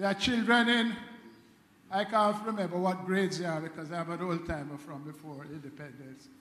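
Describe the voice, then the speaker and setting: Amid audible room echo, a man with a high pitch talks at a fairly quick pace, his loudness swinging widely while his pitch varies in an ordinary way. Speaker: committee member; panel member. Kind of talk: public talk. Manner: humorous. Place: church. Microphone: handheld.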